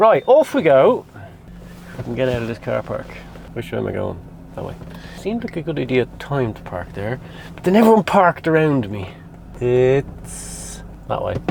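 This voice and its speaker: A man with an Irish accent speaks with big swings in loudness and long, frequent pauses over noticeable background noise. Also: moderate pace. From Ireland. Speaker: vlogger. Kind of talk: casual vlog chat. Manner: mumbly.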